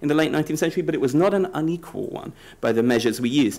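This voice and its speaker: A man with a British accent uses lively intonation at a fairly high pitch. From Britain. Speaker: political science professor. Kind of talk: conference presentation. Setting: conference panel with audience. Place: hall. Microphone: podium.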